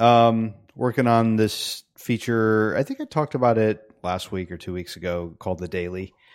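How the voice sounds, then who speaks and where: In an ordinary speaking voice, a man with a fairly low pitch keeps a moderate pace with hardly any pauses over a quiet background. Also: ordinary pitch variation. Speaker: software developer, podcast co-host. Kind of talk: casual chat.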